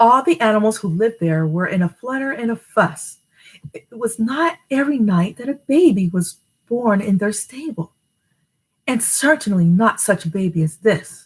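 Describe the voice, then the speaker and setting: A woman with an American accent speaks at a moderate pace. Her fairly high, somewhat breathy voice swings very widely in pitch. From New Jersey. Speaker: storytime reader. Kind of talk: reading aloud; casual chat. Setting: live stream.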